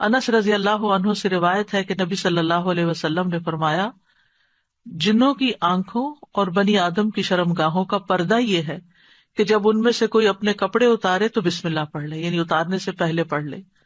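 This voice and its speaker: Ordinary pitch variation runs through this woman's unremarkable speaking voice. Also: medium pitch for a woman. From Pakistan. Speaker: Islamic scholar and preacher. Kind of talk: religious lecture (bayan) to an audience. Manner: explanatory, teaching.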